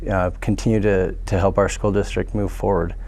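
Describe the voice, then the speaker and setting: Fairly quick and monotone, a man with an American accent talks in a flat way at a fairly low pitch. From Pocatello, Idaho. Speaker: school board candidate. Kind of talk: candidate forum answer. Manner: hesitant, many fillers and repeats.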